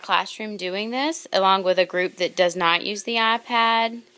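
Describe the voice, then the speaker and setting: Recorded very cleanly against a silent background, a woman speaks at a fairly high pitch with ordinary pitch variation. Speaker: kindergarten teacher. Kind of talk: video blog. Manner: fast.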